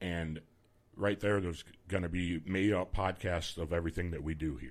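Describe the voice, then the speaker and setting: With a Midwestern US accent, a man has a booming voice at a very deep, low pitch. He talks at a moderate pace with vocal fry. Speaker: radio host. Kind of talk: radio DJ patter, chatty live hosting with banter and station IDs. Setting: radio studio. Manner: relaxed, chatty, jokey, upbeat.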